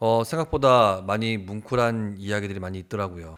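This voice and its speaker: On a very clean recording with a silent background, a man uses a plain, everyday voice at a fairly low pitch, speaking at a fairly quick pace with ordinary pitch variation. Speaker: TV producer / YouTuber. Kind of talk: casual talk to camera.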